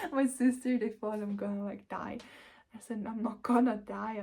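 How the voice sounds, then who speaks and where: This woman's voice sits fairly high in pitch. It has a dark, mellow tone with some breathiness. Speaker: spiritual vlogger. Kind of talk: personal vlog. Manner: emotional, rambling.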